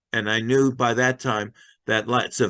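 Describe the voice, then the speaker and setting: Against a quiet background, a man's bright, sharp voice holds a flat, monotone intonation. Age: 80s+. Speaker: singer-songwriter. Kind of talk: interview. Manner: halting.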